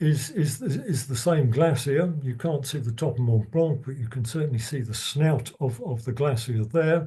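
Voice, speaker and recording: Fairly high in pitch, this man's somewhat breathy, dark, mellow voice moves at a moderate pace with ordinary pitch variation and hardly any pauses. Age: 70s. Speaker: retired biologist giving a talk. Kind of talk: lecture. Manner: halting, many repetitions and stutters.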